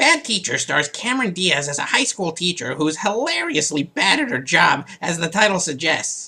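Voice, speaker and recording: A put-on character voice at a middle pitch keeps a moderate pace with hardly any pauses. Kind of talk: comedic movie review show.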